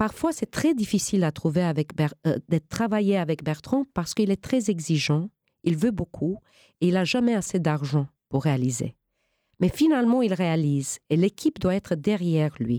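Captured in a very clean recording with a silent background and a dry, close sound with no echo, a woman with a fairly low pitch and a dark, mellow tone speaks at a moderate pace, her pitch swinging very widely while her loudness stays very even. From Romania, then United States. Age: 50s. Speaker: actress. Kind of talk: interview. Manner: halting.

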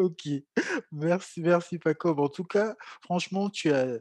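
Against a quiet background, a man's high voice comes through dry and close with no echo, with ordinary pitch variation. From Cameroon. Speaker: podcast host. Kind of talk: interview.

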